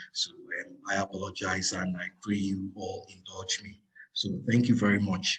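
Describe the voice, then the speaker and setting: A somewhat breathy man speaks with fairly low pitch and fairly even intonation. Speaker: lead researcher presenting a report. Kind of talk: webinar presentation. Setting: online webinar with interpreter.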